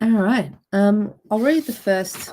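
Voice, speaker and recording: Somewhat breathy and dark, mellow in tone, a woman speaks at a very slow pace with ordinary pitch variation. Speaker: children's book author. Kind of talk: reading aloud.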